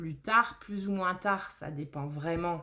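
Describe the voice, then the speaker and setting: A very slow voice with a slight southern French accent is heard on a very clean recording with a silent background. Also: woman. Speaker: tarot reader. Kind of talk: tarot reading monologue. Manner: hesitant, many fillers.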